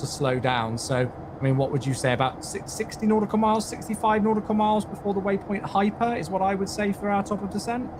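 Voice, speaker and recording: With an English accent, a man talks very fast with lively intonation over noticeable background noise. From England. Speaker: community manager hosting flight sim livestream. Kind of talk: live-stream tutorial chat. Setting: livestream.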